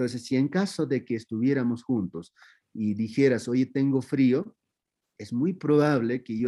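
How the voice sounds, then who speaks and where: A man's medium-pitched voice with a dark, mellow tone, in an Andean accent, at a fairly slow pace with ordinary pitch variation. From Peru, Andean highlands (Q'ero community near Cusco). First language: Quechua (speaking Spanish). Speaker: spiritual teacher of Andean tradition. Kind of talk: interview. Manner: halting, many fillers and restarts.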